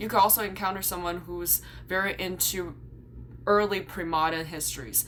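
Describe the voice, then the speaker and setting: Amid audible room echo, a woman speaks at a moderate pace in a fairly low, bright, sharp voice with vocal fry. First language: Chinese. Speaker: YouTuber and graduate student. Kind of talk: vlog explainer. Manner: casual, some filler words.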